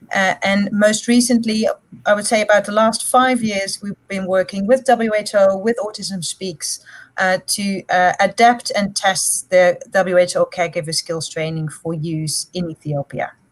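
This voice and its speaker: A woman speaks at a fairly slow pace in a somewhat breathy voice. Her pitch sits at a medium level and varies in an ordinary way. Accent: Dutch. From Netherlands. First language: Dutch. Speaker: psychology lecturer and researcher. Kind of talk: panel discussion.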